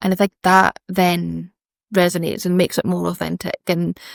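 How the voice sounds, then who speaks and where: Speaking at a moderate pace with a Scottish accent, a woman with a fairly low pitch and fairly even intonation is heard in a dry, close sound with no echo on a very clean recording with a silent background. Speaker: fashion brand founder. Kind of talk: casual interview chat.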